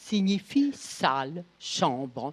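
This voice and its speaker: The woman's pitch ranges very widely. She talks very slowly. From northern France. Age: 80s+. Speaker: Holocaust survivant and witness. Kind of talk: testimony talk to schoolchildren.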